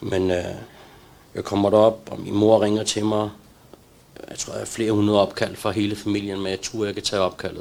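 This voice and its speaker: Over noticeable background noise, a man talks at a moderate pace and a fairly low pitch, his intonation monotone and flat. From Denmark, Copenhagen (Valby), Pakistani roots. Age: 40s. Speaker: recovered addict sharing his story. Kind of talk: testimony. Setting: live stream from a center. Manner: halting.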